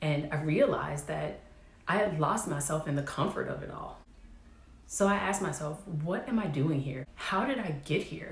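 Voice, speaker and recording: In a room with audible echo, a woman speaks in a very deep, low voice with ordinary pitch variation. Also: moderate pace. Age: 30s. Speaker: vlogger, military veteran. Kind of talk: personal vlog monologue.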